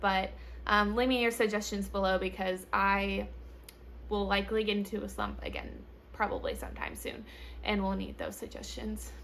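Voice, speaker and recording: A woman speaks at a moderate pace with long, frequent pauses. The room echo is audible. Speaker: book reviewer YouTuber. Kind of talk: casual vlog monologue. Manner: many filler words.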